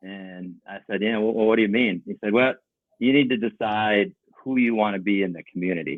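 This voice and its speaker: In an unremarkable speaking voice, the speaker talks at a fairly quick pace with ordinary pitch variation. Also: man. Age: 60s. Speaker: painting company owner. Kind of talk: podcast interview.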